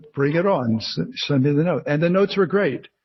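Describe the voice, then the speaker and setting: Somewhat breathy, a man talks with a New Jersey accent at a fairly high pitch. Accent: New Jersey American. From New Jersey, US. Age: 60s. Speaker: memoir author and retired actor. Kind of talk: interview. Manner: halting, many fillers and restarts.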